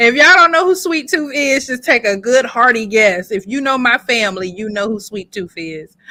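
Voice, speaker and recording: Loud and animated, a woman speaks at a moderate pace with hardly any pauses, in a high, bright, sharp tone with very wide pitch swings. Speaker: podcast co-host. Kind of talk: casual chat. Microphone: distorted mic.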